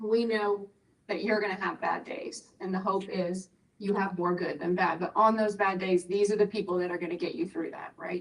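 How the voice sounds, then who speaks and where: A woman's medium-pitched voice at a moderate pace, with fairly even intonation. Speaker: medical professional, patient navigation speaker. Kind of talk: health talk presentation. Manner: loud.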